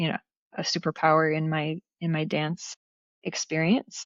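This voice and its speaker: A woman with a Pacific Northwest accent has a very deep, low pitch. She speaks at a moderate pace with fairly even intonation. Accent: Pacific Northwest American. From Portland, Oregon. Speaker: dance teacher and performer. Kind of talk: interview answer.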